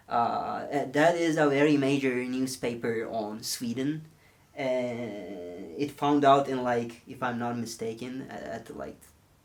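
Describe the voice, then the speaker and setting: A man of medium pitch with a non-native accent, a fairly slow pace, ordinary pitch variation, big swings in loudness and audible room echo. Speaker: film photography YouTuber. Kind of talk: tutorial. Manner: halting, many fillers.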